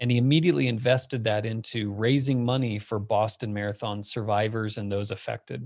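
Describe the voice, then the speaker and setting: An unremarkable speaking voice from a man, medium-pitched with ordinary pitch variation, at a fairly quick pace with hardly any pauses. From US Southwest (Phoenix, Arizona). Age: 40s. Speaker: tech company founder. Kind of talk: casual interview chat.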